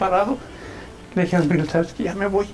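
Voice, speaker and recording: A man with a Mexican accent speaks at a fairly quick pace. Faint music plays in the background. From Michoacán, Mexico. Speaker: journalist. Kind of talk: personal storytelling. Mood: emotional recollection. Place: home room. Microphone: lapel.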